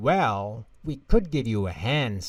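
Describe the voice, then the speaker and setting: A man at a medium pitch puts on a character voice. He growls through it. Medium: read story.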